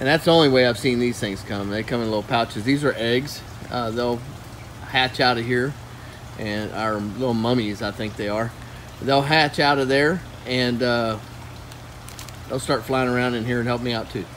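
A man speaks at a moderate pace with fairly even intonation and long, frequent pauses. Light background noise is present. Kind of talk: tutorial. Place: farm machine.

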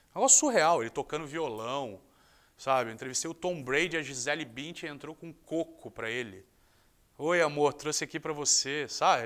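A man speaks at a moderate pace. Little sound comes from behind him, with the background quiet. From Rio de Janeiro, Brazil. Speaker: sports journalist. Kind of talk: interview monologue. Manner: casual, conversational. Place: studio. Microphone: lapel.

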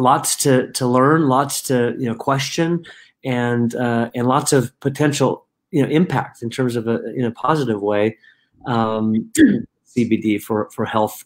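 This man talks at a fairly slow pace, keeping his intonation fairly even. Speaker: company founder hosting a talk. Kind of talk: casual webinar introduction. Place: home room.

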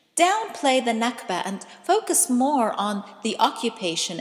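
Noticeable background noise is audible. A woman talks over it at a fairly high pitch. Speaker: poet. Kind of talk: poetry reading.

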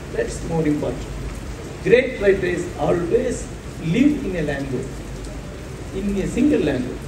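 There is noticeable background noise as a man speaks with a Tamil accent. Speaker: writer. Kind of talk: panel discussion at a literary festival. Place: stage. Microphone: pa.

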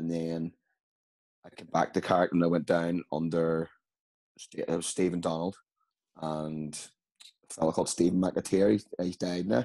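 A man with a very deep, low pitch and a Northern Irish accent speaks in a dark, mellow tone with monotone, flat intonation and long, frequent pauses against a quiet background. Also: moderate pace. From Northern Ireland. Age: 30s. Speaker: amateur footballer. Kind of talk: casual interview. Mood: relaxed, conversational. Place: home room. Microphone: video call.

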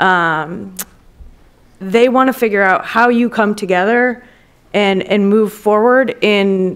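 With an American accent, a woman talks at a fairly slow pace. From Wisconsin, US Midwest. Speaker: former congressional policy aide, lobbyist. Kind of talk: panel discussion. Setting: stage with audience. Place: hall. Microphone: podium.

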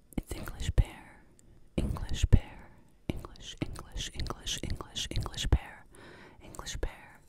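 Whispering and soft-spoken, a woman talks at a fairly slow pace in a dry sound with no echo, against loud background noise. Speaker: ASMR creator. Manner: soft close-mic ASMR whisper. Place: home room. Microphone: studio mic.

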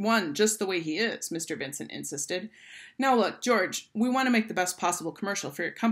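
Reading aloud, natural in voice.

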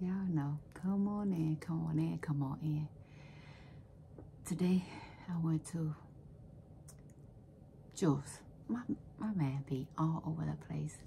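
Soft-spoken and gentle in tone, a woman with a very deep, low pitch talks at a fairly slow pace, leaving long, frequent pauses, with ordinary pitch variation and light background noise. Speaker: home vlogger. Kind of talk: casual vlog chat. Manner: soft-spoken, gentle low-volume talk. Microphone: phone near.

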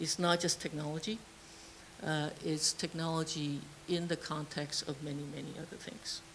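A woman's very deep, low, somewhat breathy voice at a moderate pace, with monotone, flat intonation over light background noise. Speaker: engineering professor. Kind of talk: formal vote of thanks. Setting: stage with audience. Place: classroom. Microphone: handheld.

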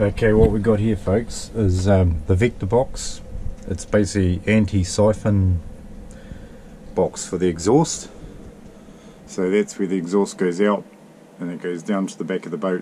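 Over light background noise, a man with a fairly low voice and fairly even intonation speaks at a moderate pace, leaving long, frequent pauses. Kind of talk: tutorial. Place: boat. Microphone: phone near.

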